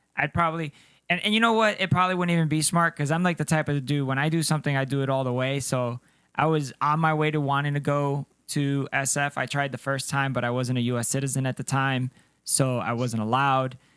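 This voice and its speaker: A man speaks at a very fast pace in a fairly high pitch with ordinary pitch variation. The recording is very clean, with a silent background and a dry, close sound with no echo. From Colombia, moved to US as child. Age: 30s. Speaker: podcast co-host, army veteran. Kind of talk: casual chat. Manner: sounds young; animated.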